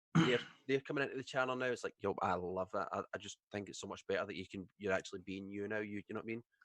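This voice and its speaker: A man in a Scottish accent talks at a very fast pace, with fairly low pitch and ordinary variation. The sound is dry and close, with no echo. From Scotland. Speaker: streamer. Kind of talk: casual chat.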